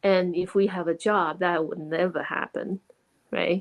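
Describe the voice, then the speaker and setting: Speaking with a Chinese accent, a woman goes at a fairly slow pace with fairly even intonation, the sound dry and close with no echo. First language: Mandarin Chinese. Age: 40s. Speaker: online business owner and mentor. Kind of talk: interview.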